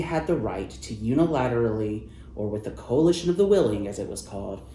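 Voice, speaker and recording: A man with an American accent speaks at a moderate pace with a dark, mellow tone and vocal fry. His pitch swings very widely, and audible room echo surrounds him. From US Midwest (Ohio). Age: 30s. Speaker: journalist. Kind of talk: interview. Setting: event venue.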